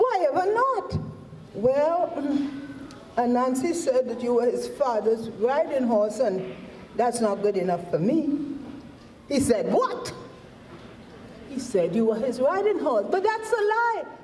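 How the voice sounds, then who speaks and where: Against noticeable background noise, a woman with a high voice speaks at a very slow pace, with long, frequent pauses and very wide pitch swings. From Trinidad. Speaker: storyteller. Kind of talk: folk tale telling.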